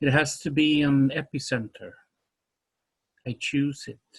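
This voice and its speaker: A man with a Swedish accent speaks very slowly in a fairly high, somewhat breathy voice, recorded dry and close with no echo against a quiet background. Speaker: poet. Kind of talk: poetry reading.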